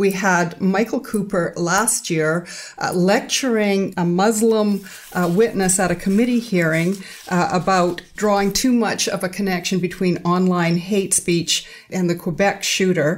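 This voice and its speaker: In a normal speaking voice, a woman talks at a medium pitch and a fairly slow pace, with fairly even intonation and very even loudness. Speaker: podcast co-host and interviewer. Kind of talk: casual interview.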